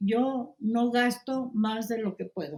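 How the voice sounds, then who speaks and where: A somewhat breathy woman's voice, fairly high in pitch, dark and mellow in tone, at a very slow pace. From Poland. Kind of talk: interview answer.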